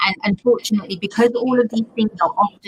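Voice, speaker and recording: Loud and in a London accent, a woman speaks with a dry, close sound with no echo. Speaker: pediatrician. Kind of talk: panel discussion.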